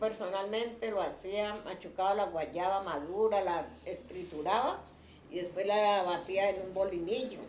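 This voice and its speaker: Noticeable background noise and audible room echo around a woman's medium-pitched voice at a fairly slow pace. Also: ordinary pitch variation. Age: 70s. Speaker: grandmother interviewee. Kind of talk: testimony.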